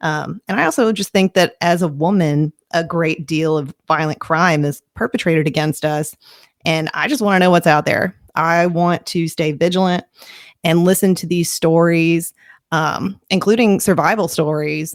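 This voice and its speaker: A woman with a slight Southern US accent, recorded dry and close with no echo. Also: fairly low pitch for a woman, ordinary pitch variation, moderate pace. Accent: slight Southern twang. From Kentucky. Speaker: true crime podcaster. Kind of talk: podcast narration. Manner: casual, with filler words.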